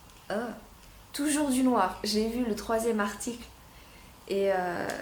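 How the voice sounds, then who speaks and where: With audible room echo and noticeable background noise, a woman speaks at a very slow pace with ordinary pitch variation. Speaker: fashion unboxing youtuber. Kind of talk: casual product unboxing review. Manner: hesitant, many fillers.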